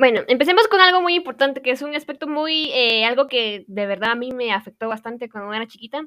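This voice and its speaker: A woman speaks in a Guatemalan accent with a high pitch, a raised, projected voice and a bright, sharp tone, racing along at a very fast pace with lively intonation and hardly any pauses. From Guatemala, Quetzaltenango. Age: young. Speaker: university student. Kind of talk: personal monologue.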